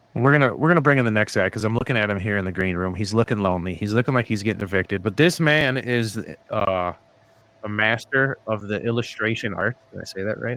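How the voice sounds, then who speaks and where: The speech moves at a very fast pace with ordinary pitch variation. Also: man, fairly low pitch for a man. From US Midwest. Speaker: podcast host. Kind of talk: casual chat. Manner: animated.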